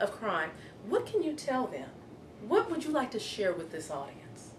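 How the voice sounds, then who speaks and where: The voice moves at a moderate pace over light background noise. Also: woman. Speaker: security company owner. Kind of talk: interview question. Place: home room. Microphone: camera far.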